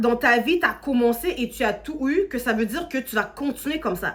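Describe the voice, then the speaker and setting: The speaker uses an animated tone at a moderate pace. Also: woman. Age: 30s. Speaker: social media content creator. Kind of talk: casual motivational talk to camera. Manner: animated, conversational.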